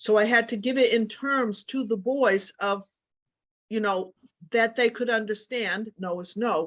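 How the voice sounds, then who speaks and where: A woman has a plain, everyday voice with fairly even intonation at a fairly slow pace. The sound is dry and close with no echo. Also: fairly high pitch for a woman. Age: 60s. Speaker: participant asking a question. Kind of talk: casual chat.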